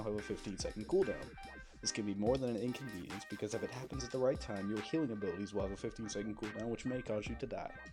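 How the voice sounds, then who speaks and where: A man with a fairly low pitch talks at a very fast pace and ordinary pitch variation while music plays in the background. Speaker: gaming guide narrator. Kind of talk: game tutorial voice-over. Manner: a little mumbly.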